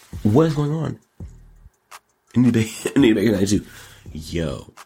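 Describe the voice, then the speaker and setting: A man speaks at a medium pitch with very wide pitch swings. Music plays in the background. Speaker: show host; rapper. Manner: energetic, animated.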